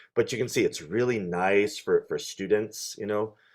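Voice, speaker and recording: A man with an American accent talks at a fairly quick pace, the background quiet. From New York. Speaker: clarinet professor. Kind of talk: online workshop talk. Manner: fast.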